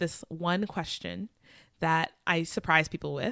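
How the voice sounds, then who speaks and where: Her bright, sharp tone and ordinary pitch variation mark this woman with an American accent, speaking at a fairly slow pace in a dry, close sound with no echo on a very clean recording with a silent background. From US Midwest. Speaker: podcast host. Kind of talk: casual interview.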